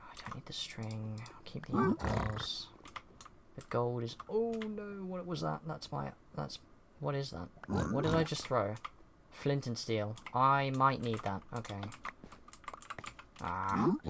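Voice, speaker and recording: The speaker goes at a fairly slow pace with long, frequent pauses amid noticeable background noise. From Britain. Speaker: streamer. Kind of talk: casual gameplay commentary. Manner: casual, rambling with fillers.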